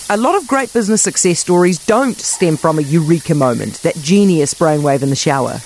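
With a New Zealand accent, a woman talks at a moderate pace and with lively intonation over noticeable background noise. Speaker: radio host. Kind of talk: scripted narration.

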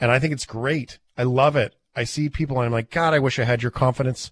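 In a Canadian accent, a man talks at a fairly quick pace in a medium, somewhat breathy voice with an animated tone and ordinary pitch variation, the sound dry and close with no echo. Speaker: podcast host. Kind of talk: casual interview chat. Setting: video call.

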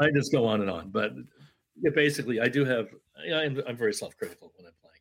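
Vocal fry marks this man's very fast speech in an American accent. His intonation is lively, with big swings in loudness. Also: medium pitch for a man. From Syracuse, New York, US. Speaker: banjo player and teacher. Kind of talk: interview. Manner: halting.

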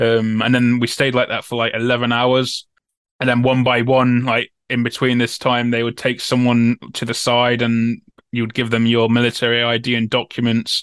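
In an East Midlands accent, a man speaks at medium pitch and a moderate pace with monotone, flat intonation. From Newark-on-Trent, Nottinghamshire, England. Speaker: former soldier and prisoner of war. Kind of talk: interview testimony. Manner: hesitant, many fillers and repetitions.

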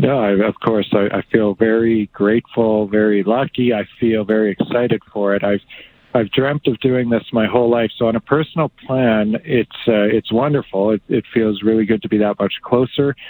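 A man with an unremarkable speaking voice talks at a moderate pace and medium pitch, with fairly even intonation and very even loudness. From central Alberta, Canada (farm near Two Hills). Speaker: astronaut. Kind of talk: interview.

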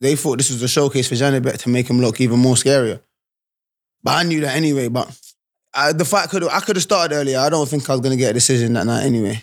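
A man speaks at a very fast pace on a very clean recording with a silent background. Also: medium pitch for a man, ordinary pitch variation. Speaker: professional boxer. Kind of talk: interview.

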